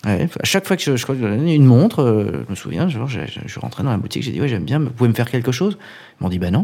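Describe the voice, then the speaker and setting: Speaking at a very fast pace, a man with a medium pitch and a dark, mellow tone shows vocal fry and very wide pitch swings. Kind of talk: casual interview.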